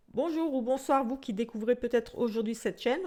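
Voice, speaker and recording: In a strong Alsatian accent, a woman with a dark, mellow tone speaks with ordinary pitch variation on a very clean recording with a silent background. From Alsace, France (Portuguese descent). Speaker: psychic tarot reader. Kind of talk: casual self-introduction to camera. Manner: hesitant, many fillers.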